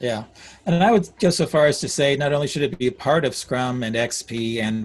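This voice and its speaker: A man speaks at a moderate pace, somewhat breathy, with lively intonation. The background is quiet. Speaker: agile coach, speaker. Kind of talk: Q&A session. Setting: video call. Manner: halting.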